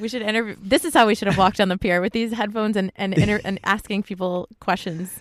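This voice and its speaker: With an American accent, a woman talks at a very fast pace with hardly any pauses. The recording is very clean and dry, close with no echo and a silent background. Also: medium pitch for a woman, ordinary pitch variation. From US East Coast, Connecticut. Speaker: photographer, project founder. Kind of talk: casual interview chat. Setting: inside a parked car.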